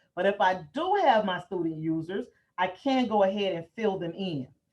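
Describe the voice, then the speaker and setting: A woman speaks in a plain, everyday voice. Her pitch sits at medium, with ordinary variation. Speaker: educational software trainer. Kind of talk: software training webinar.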